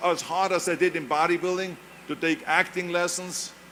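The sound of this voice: A man with a high voice speaks in a monotone, flat way. His pace is moderate. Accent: German.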